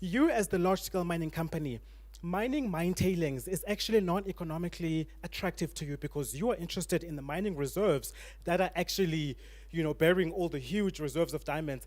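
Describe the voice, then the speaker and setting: On a very clean recording with a silent background, a man with a high voice speaks at a very fast pace with ordinary pitch variation. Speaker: panel guest on legal and mining issues. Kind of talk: panel discussion.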